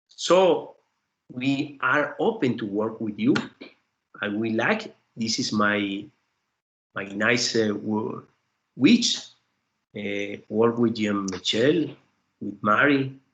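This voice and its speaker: A man with a Spanish accent and medium pitch speaks very slowly with ordinary pitch variation. He takes long, frequent pauses. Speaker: professor, invited seminar speaker. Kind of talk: academic seminar Q&A. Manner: halting, hesitant English.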